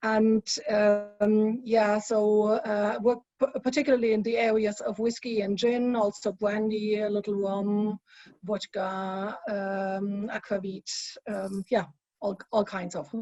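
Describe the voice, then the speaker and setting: In a strong German accent, the speaker talks at a very slow pace with fairly even intonation. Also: woman, fairly high pitch for a woman. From Germany. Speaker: spirits industry consultant. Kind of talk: panel discussion.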